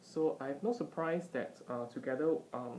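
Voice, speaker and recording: This soft-spoken voice moves at a fairly slow pace. Its pitch varies in an ordinary way. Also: woman. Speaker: vlogger / tutor. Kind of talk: casual commentary. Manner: halting with many fillers. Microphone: iPad mic, poor audio quality.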